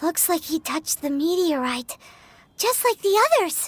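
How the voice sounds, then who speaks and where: Music plays in the background as a put-on character voice at extremely high pitch speaks at a moderate pace. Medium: video game.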